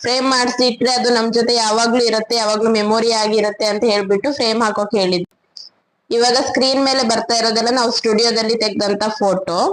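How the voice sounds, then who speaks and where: The voice keeps a very even loudness. Its intonation is monotone and flat. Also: woman, fairly high pitch for a woman. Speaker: vlogger. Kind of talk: vlog narration. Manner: casual.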